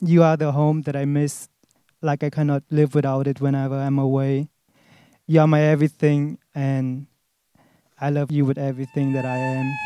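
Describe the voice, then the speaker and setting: Speaking in a German accent at a moderate pace, a man has a fairly high pitch and a dark, mellow tone. His intonation is monotone and flat, and the sound is dry with no echo over a quiet background. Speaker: groom. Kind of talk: wedding vows. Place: garden. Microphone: handheld.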